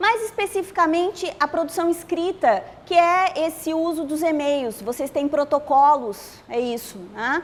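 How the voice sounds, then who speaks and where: Her pitch is extremely high. The woman speaks at a fairly slow pace. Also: lively intonation, hardly any pauses. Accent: Florianópolis. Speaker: workshop instructor. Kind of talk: lecture.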